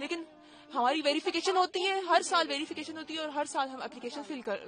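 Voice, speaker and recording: A woman speaks at a moderate pace. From Pakistan-administered Kashmir, Muzaffarabad. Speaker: deportee. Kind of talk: street interview.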